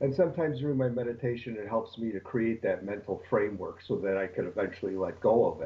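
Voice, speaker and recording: Somewhat breathy, a man talks at a very fast pace with hardly any pauses, at medium pitch and with ordinary pitch variation. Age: 60s. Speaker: caller asking a question. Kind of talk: live stream Q&A question. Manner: halting, many fillers.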